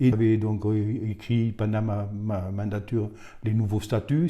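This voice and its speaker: Fairly slow in pace, a man speaks in a dark, mellow tone. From Bigorre, southwestern France. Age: 70s. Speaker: retired rugby official. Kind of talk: interview monologue. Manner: hesitant, many fillers.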